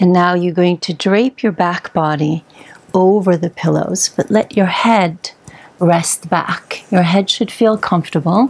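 Loudness stays very even as the speaker goes at a fairly slow pace with ordinary pitch variation. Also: woman, fairly low pitch for a woman. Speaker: yoga instructor. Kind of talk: guided yoga instruction. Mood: calm, soothing. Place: home room.

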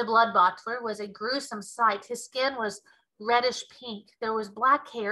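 The intonation stays fairly even in this plain reading aloud. Behind it, things are quiet.

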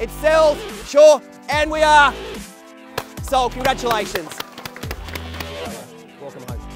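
Clear music plays behind a man whose extremely high pitch shows ordinary variation as he talks at a fairly slow pace with long, frequent pauses, the sound dry with no echo. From Sydney, Australia. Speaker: real estate auctioneer. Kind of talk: auction call. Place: garden.

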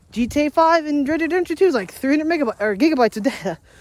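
The man talks at a very fast pace with lively intonation. The sound is dry, with no echo. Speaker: vlogger. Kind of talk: casual vlog chat. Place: garden. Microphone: phone near.

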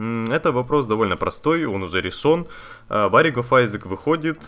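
Bright and sharp in tone, a man speaks at a medium pitch with very wide pitch swings. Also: very clean recording, silent background. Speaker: gaming YouTuber. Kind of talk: casual vlog to viewers. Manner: conversational, with fillers. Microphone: new budget condenser studio microphone.

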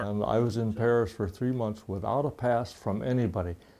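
A man with an American accent has a dark, mellow tone. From United States. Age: 80s+. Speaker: World War Two veteran and artist. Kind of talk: interview answer. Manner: humorous, storytelling. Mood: lively storytelling, amused. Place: home room. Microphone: lapel.

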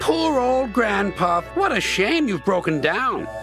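Over clear music in the background, a man does a put-on character voice that is high-pitched, with vocal fry, big pitch swings and a slow pace.

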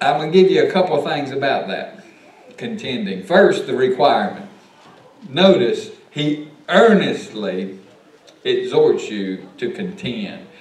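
Audible room echo follows a man whose speech has long, frequent pauses and big swings in loudness. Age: 50s. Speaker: pastor teaching Sunday school. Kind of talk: Sunday school Bible lesson. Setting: church. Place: church. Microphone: camera far.

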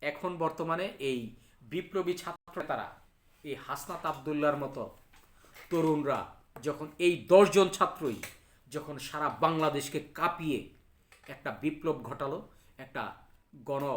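Here a man speaks at a fairly high pitch with fairly even intonation. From Bangladesh, Cumilla (Debidwar). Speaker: local political commentator. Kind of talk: political monologue. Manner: halting.

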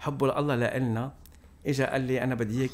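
Fairly quick speech from a man. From Lebanon. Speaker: priest. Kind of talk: casual chat. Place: home room. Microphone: studio mic.

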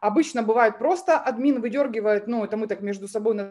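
An ordinary speaking voice from a woman, fairly high in pitch, with lively intonation at a moderate pace. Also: quiet background. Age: 20s. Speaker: MLM coach; webinar presenter. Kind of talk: webinar presentation. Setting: live stream with chat. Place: home room. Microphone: webcam.

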